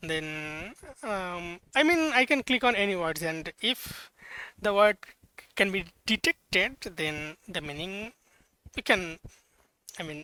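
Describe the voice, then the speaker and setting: A man with a non-native accent speaks at a very slow pace in a raised, projected voice, his high pitch, bright, sharp tone and lively intonation broken by long, frequent pauses. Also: very clean recording, silent background. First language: not English. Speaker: hobbyist programmer. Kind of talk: casual software demo. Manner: halting, many fillers and self-corrections.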